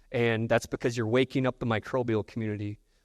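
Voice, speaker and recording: A man at medium pitch talks with a Midwestern accent and fairly even intonation. The sound is dry and close with no echo, the recording very clean and the background silent. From US Midwest. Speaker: technology presenter. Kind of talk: conference presentation.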